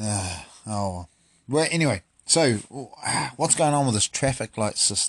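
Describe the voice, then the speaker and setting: A man with a New Zealand accent speaks at a moderate pace in a fairly low voice, his tone animated and his pitch swinging very widely, recorded dry and close with no echo. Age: 30s. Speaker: podcast host. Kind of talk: casual chat.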